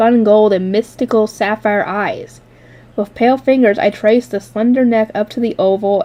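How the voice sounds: The reading voice sounds natural. Its intonation is fairly even.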